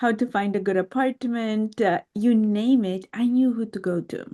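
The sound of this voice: A woman's medium-pitched voice in a Romanian accent, dark and mellow in tone, at a fairly slow pace with ordinary pitch variation.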